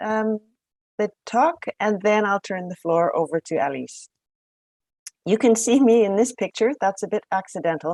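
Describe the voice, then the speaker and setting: In a dry, close recording with no echo and a quiet background, a woman with a Canadian accent speaks at a moderate pace and medium pitch, her lively intonation broken by long, frequent pauses. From Canada. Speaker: professor. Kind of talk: lecture.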